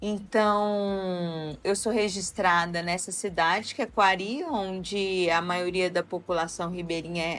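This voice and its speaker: Woman at a medium pitch with a Goiás accent, very slow pace, hardly any pauses and ordinary pitch variation. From Brazil, Amazonas, raised in Goiânia. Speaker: university professor. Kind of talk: interview conversation. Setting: podcast recording.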